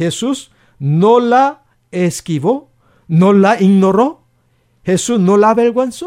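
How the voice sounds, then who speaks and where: This man talks with lively intonation. He has a Korean accent. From South Korea. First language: Korean (speaking Spanish). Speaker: pastor. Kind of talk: radio interview.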